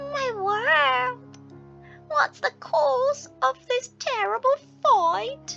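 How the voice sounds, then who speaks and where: A woman speaks in a put-on character voice at an extremely high pitch. Her pace is very slow, with clear music playing behind her. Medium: read story.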